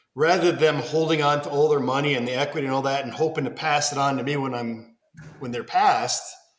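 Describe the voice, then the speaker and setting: Audible room echo hangs around this recording. A man talks at a very fast pace with a fairly high pitch. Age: 40s. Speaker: podcast host. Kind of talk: casual chat. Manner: animated.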